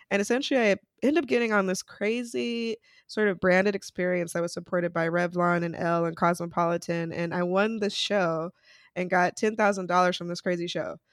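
In a very clean recording with a silent background, a woman with an American accent talks in a normal speaking voice at medium pitch, fairly quick pace and ordinary pitch variation. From Utah, US. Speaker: entrepreneur, communication consultant. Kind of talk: interview.

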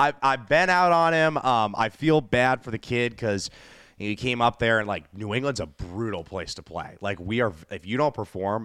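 A man with an American accent and a normal speaking voice, fairly low in pitch, lively in intonation and moderate in pace, on a very clean recording with a silent background. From Boston. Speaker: singer-songwriter and music entrepreneur. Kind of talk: casual chat.

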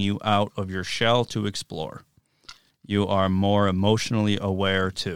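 The man's fairly low voice holds a fairly even intonation on a very clean recording where the background is silent. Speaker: podcast co-host. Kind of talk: casual banter podcast chat.

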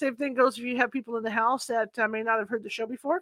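A woman's very fast speech, fairly high in pitch, with fairly even intonation. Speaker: podcast host and paranormal investigator. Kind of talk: casual chat. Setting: video call.

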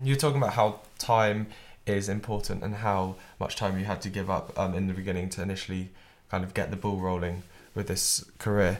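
This man has a plain, everyday voice, fairly low in pitch. He talks at a fairly quick pace with fairly even intonation. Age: young. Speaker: student podcast co-host. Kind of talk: interview; scripted narration.

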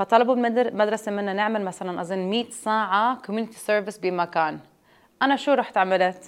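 A woman talks in a normal speaking voice at a moderate pace, medium in pitch with ordinary pitch variation. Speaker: juice business founder. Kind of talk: interview.

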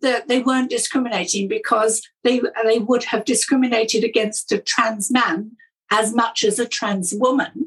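A woman speaks with a British accent in a high-pitched voice. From Britain. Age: 60s. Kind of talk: interview.

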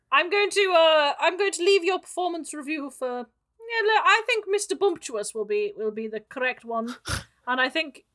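A woman does a squeaky, put-on character voice at an extremely high pitch with very wide pitch swings. She talks at a fairly slow pace. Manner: officious, scornful.

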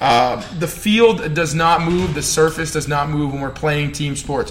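Noticeable background noise runs under the recording. A man talks in a fairly high pitch with ordinary pitch variation. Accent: American. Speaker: strength coach and podcast host. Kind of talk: solo podcast rant. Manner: animated, fired up, fast.

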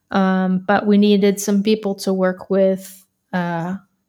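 Speaking with an American accent, a woman keeps her medium pitch in a monotone, flat intonation. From US South, Florida. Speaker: audio engineer and music technologist. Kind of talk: casual chat. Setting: video call.

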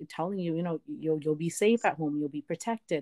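In a very clean recording with a silent background and a dry, close sound with no echo, a woman talks in an ordinary speaking voice, fairly low in pitch. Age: 20s. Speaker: digital marketer and activist guest. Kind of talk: casual interview.

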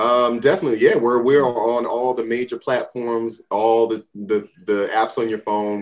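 A man speaks at a moderate pace in a medium pitch, with an unremarkable speaking voice. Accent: American. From New Jersey, US. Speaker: singer-songwriter in a band. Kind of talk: casual interview chat.

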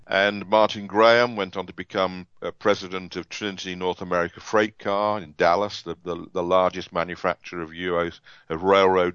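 With an English accent, a man speaks in a very deep, low voice at a moderate pace, his intonation monotone and flat with hardly any pauses. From England. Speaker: author and automotive industry veteran. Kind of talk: interview.

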